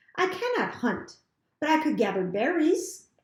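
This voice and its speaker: Slight echo surrounds a woman doing a put-on character voice at an extremely high pitch. Her pitch swings very widely, and her pace is moderate. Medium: read story. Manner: calm, plain, literal.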